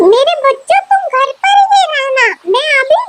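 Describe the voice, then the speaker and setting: A female-sounding cartoonish character voice is heard. It moves at a moderate pace. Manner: gentle, affectionate.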